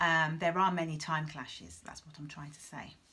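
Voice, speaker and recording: A woman speaks over noticeable background noise. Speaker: travel reviewer. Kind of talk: casual review.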